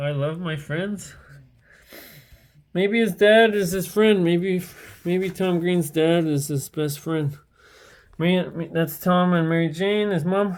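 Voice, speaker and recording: Delivered at a very slow pace with long, frequent pauses, the speech comes through in a very clean recording with a silent background. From Eastern Ontario, Canada (Hawkesbury). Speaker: streamer. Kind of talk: casual livestream commentary. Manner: rambling, hesitant.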